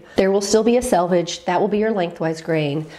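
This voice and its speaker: Lively intonation at a fairly quick pace over noticeable background noise. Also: woman. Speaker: sewing teacher. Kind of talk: tutorial talk to camera.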